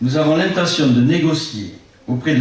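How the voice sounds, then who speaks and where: At a fairly slow pace, a man with a fairly high pitch talks amid noticeable background noise and audible room echo. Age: 60s. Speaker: local election candidate. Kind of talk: public meeting speech. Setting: public meeting with audience. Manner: formal.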